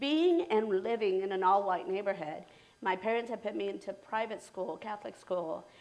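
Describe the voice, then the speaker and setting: A woman speaks with lively intonation. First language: Spanish. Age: 50s. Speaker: realtor. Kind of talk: interview. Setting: live stream.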